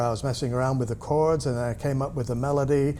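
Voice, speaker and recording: A man's fairly high voice with a slight English accent. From UK. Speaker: musician. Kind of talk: interview. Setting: studio. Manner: halting, with many fillers and restarts.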